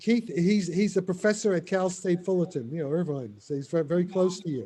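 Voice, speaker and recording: A dark, mellow tone at a fairly quick pace. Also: man. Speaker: theoretical physicist. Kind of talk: casual Q&A discussion. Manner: fast; halting, repetitive.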